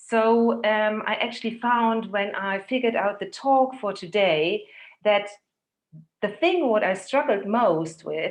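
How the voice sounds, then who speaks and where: At a very slow pace, a woman talks in a medium-pitched voice. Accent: German. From Germany. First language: German. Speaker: physiotherapist and holistic health therapist. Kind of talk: talk to a women's group. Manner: halting.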